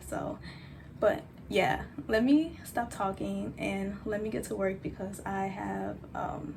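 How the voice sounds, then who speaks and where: A woman speaks at a very slow pace with audible room echo and noticeable background noise. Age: 20s. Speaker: vlogger. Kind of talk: casual vlog talk.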